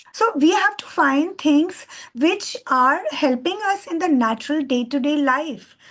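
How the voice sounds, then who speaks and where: At a fairly slow pace, a woman with an Indian accent speaks in a high pitch with lively intonation. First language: Hindi. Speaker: bioenzyme trainer. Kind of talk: talk to an online course. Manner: halting.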